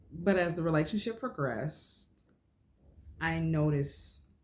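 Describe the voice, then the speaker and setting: A woman with a somewhat breathy voice speaks fairly slowly in a fairly low pitch, using ordinary pitch variation. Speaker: vlogger. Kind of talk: personal storytelling. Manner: animated.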